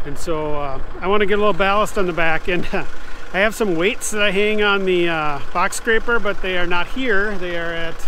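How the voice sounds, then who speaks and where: Against noticeable background noise, a man with a high voice speaks fairly quickly in a dry sound with no echo. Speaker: tractor owner vlogger. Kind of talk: casual vlog chat. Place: open country. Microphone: phone near.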